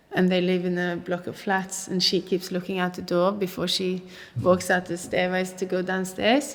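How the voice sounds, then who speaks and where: A woman speaks with a Norwegian accent at medium pitch. Her delivery is moderate in pace and monotone, with flat intonation. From Oslo, Norway. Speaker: actor. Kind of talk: interview answer.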